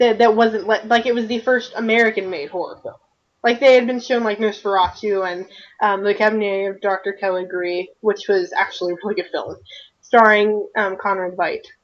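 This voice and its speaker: At a fairly quick pace, a woman with a Southern US accent speaks in a fairly high pitch with fairly even intonation. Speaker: video podcast co-host, fan discussant. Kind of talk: casual discussion.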